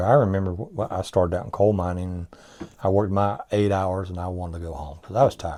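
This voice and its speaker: With an Appalachian accent, a man speaks very fast in a dark, mellow tone at a very deep, low pitch. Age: 60s. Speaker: businessman. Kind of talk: interview. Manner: halting.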